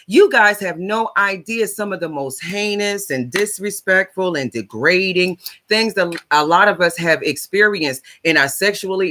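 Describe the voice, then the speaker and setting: A woman talks loudly and at a fairly slow pace in an animated, bright, sharp tone, on a very clean recording with a silent background. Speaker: life coach and advocate. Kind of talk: livestream monologue. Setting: live stream on social platforms.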